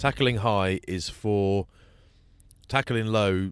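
A man with an English accent speaks at a fairly low pitch, the sound dry and close with no echo, on a very clean recording with a silent background. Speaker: rugby pundit. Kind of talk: casual chat.

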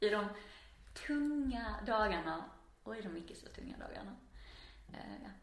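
A woman with a Scanian accent, fairly high pitch and lively intonation, at a moderate pace with long, frequent pauses, big swings in loudness and audible room echo. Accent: Skåne. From Skåne, southern Sweden. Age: 30s. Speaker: artist. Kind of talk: casual interview.

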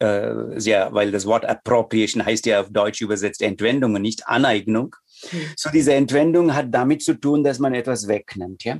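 In a Tamil accent, a man talks at a moderate pace with a medium pitch and ordinary pitch variation. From India, Chennai. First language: Tamil (speaking German). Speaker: yoga teacher and Sanskrit scholar. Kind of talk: interview conversation. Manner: halting.

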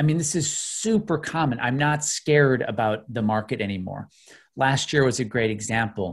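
Over a quiet background, a man with a medium pitch speaks at a moderate pace, somewhat breathy and with lively intonation. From US Midwest, Illinois outside Chicago. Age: 40s. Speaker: investment educator. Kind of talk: interview.

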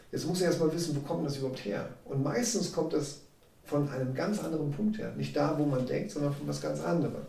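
Audible room echo surrounds a man speaking at a moderate pace. His pitch is fairly high, with ordinary variation. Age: 40s. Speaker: sales and life coach. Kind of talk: interview.

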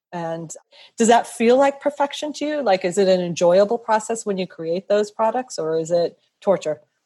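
With an ordinary speaking voice, a woman talks at a moderate pace with lively intonation. The background is quiet. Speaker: podcast host. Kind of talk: interview conversation.

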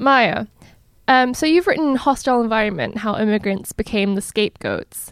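At a moderate pace, a woman with a fairly high pitch and ordinary pitch variation speaks in an unremarkable speaking voice, recorded very cleanly against a silent background with a dry, close sound and no echo. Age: young. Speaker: podcast producer and interviewer. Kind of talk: interview.

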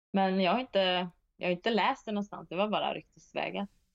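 This is a woman's voice at a medium pitch. Her pitch varies in an ordinary way. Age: 40s. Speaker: disc golf player. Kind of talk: interview. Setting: remote call.

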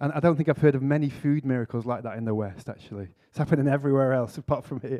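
With a Lancashire accent, a man speaks in a dark, mellow tone at medium pitch. His pitch varies in an ordinary way, and he takes hardly any pauses. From northwest England, Preston. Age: 40s. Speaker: vicar and church planter. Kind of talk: conference talk.

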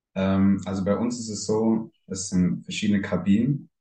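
A man's voice, fairly low in pitch. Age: 20s. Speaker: swinger club owner. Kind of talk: interview.

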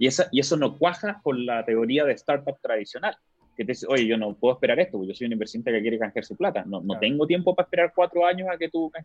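Very fast and with lively intonation, a man with a Chilean accent speaks at a fairly high pitch. The sound is dry and close, with no echo. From Chile, Antofagasta. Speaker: entrepreneurship expert. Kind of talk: casual interview.

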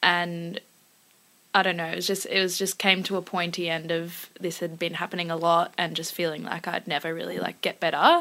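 A woman speaks with an Australian accent at a fairly low pitch. Her pace is fairly quick and her intonation monotone and flat. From Singapore and Melbourne. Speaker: singer-songwriter. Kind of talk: casual interview chat.

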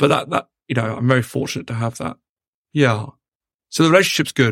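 A man speaks with a British accent at a medium pitch and a very fast pace. The sound is dry and close, with no echo. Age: 30s. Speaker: entrepreneur. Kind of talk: interview. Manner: repetitive, restarts words.

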